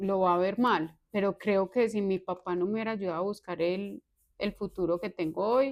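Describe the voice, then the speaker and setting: On a very clean recording with a silent background, a woman in a normal speaking voice talks at a moderate pace and medium pitch with fairly even intonation. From Colombia, Antioquia (Valparaíso). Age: 30s. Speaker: accountant. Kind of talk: interview.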